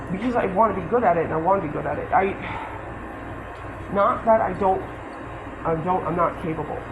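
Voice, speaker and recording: There is audible room echo and noticeable background noise as a man speaks with a high pitch and ordinary pitch variation. His pace is fairly quick, broken by long, frequent pauses. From Delaware. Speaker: store employee. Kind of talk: workplace argument. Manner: pleading.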